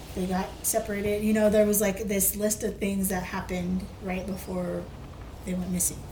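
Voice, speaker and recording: A woman talks at a moderate pace in a medium-pitched, monotone voice with flat intonation. The room echo is audible, and there is noticeable background noise. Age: 30s. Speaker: podcast co-host, storyteller. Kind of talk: casual storytelling chat.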